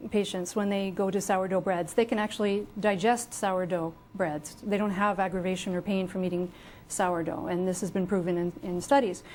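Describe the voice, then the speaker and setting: A woman at medium pitch, with ordinary pitch variation and a fairly quick pace. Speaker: health author and researcher. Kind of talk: TV interview. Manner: fast; passionate.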